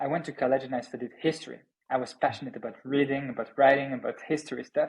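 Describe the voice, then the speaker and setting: In a French accent, a man speaks at a fairly high pitch and a very fast pace. His intonation stays monotone and flat. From France. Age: 30s. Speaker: startup founder and CEO. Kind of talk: podcast interview. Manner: halting, repeats words.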